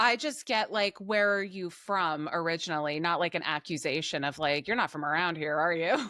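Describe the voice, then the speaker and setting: Heard on a very clean recording over a silent background, a woman with a New Jersey accent talks fairly quickly with hardly any pauses, her fairly low pitch varying in an ordinary way and her tone bright and sharp. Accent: New Jersey accent, lighter than her sister's. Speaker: podcast co-host. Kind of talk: casual chat.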